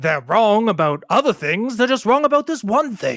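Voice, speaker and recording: A man's put-on character voice on a very clean recording with a silent background. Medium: actual play. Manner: effusive, preachy, salesman-like.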